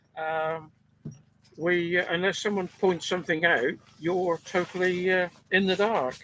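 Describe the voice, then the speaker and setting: Noticeable background noise surrounds a man speaking in a high pitch. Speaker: amateur radio operator. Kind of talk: radio contact conversation. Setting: amateur radio transmission.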